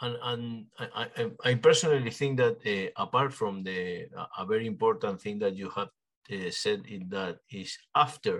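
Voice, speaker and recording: Speaking with a Spanish accent, a man shows ordinary pitch variation and big swings in loudness. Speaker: podcast host. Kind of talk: interview. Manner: halting.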